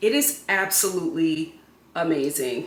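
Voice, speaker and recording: Against noticeable background noise and audible room echo, a woman with an American accent speaks in an animated tone with very wide pitch swings. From Philadelphia, US. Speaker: home and lifestyle vlogger. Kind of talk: product haul video. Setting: home studio.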